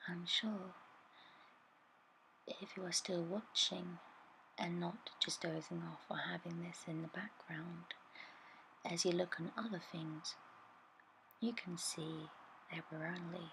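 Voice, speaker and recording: A soft-spoken whisper moves at a very slow pace, broken by long, frequent pauses. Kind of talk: ASMR art tutorial voiceover, soft-spoken talk to camera. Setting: voiceover recorded separately over original video. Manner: soft-spoken, whispering.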